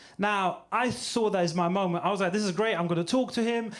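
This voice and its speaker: Amid noticeable background noise and audible room echo, a man speaks at a very fast pace with a high pitch and ordinary pitch variation. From Ukraine. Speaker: stand-up comedian. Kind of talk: stand-up. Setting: stage with audience.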